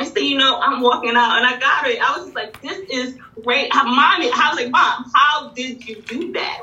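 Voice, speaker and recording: A woman's high voice with ordinary pitch variation, a moderate pace and big swings in loudness, plus audible room echo and noticeable background noise. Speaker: bookstore owner and educator. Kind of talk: interview conversation.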